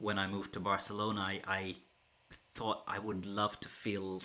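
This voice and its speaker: A man's fairly low, bright, sharp voice with an Irish accent, fairly even intonation and a fairly slow pace. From Ireland. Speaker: keynote speaker and business school teacher. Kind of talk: livestream talk to viewers. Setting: YouTube livestream from home.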